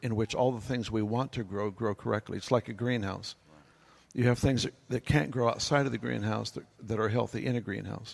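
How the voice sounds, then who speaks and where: A man at a moderate pace, medium pitch and fairly even intonation, with vocal fry. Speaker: pastor. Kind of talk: panel discussion. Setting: stage with audience. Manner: humorous.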